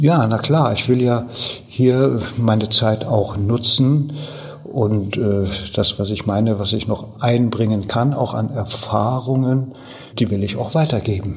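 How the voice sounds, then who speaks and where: Amid noticeable background noise and audible room echo, a man with medium pitch talks at a very slow pace. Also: ordinary pitch variation. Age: 70s. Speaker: retired former mayor. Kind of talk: interview answers.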